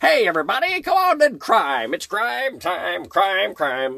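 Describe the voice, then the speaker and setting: This is a put-on character voice. It moves at a moderate pace. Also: man, high pitch for a man. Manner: gleeful, boisterous.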